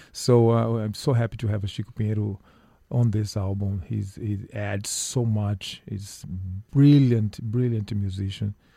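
A man's fairly low, somewhat breathy voice with a dark, mellow tone, a Portuguese accent, and a fairly slow pace. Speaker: musician. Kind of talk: radio interview.

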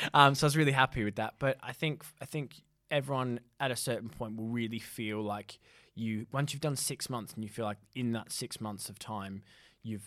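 With an Australian accent, someone talks at a fairly quick pace with ordinary pitch variation on a very clean recording with a silent background. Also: man. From Australia (Perth). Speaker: radio producer. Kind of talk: interview. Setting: studio.

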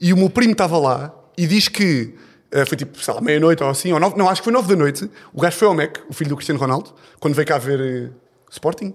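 Lively in intonation, a man with a fairly high pitch speaks at a very fast pace. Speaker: comedian. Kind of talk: casual chat. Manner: animated.

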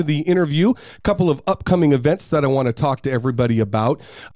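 A man's dark, mellow voice, very fast and with lively intonation, dry and close with no echo. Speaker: podcast host. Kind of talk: casual interview. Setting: studio. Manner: upbeat, friendly.

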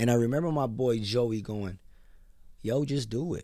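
Audible room echo surrounds a man's medium-pitched voice. He speaks fairly slowly with ordinary pitch variation. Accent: American. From US, Filipino American family. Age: 30s. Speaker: barber and entrepreneur. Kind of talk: casual interview. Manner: animated storytelling.

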